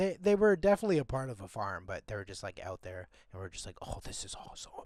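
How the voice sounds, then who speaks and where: A man speaks with a Canadian accent. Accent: very Canadian. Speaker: podcast co-host. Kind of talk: casual chat. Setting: remote call from abroad. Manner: casual, filler-heavy. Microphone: poor audio quality.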